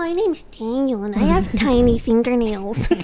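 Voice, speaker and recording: A put-on character voice, nasal and fairly high in pitch, moves at a moderate pace over light background noise. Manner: mocking, childish.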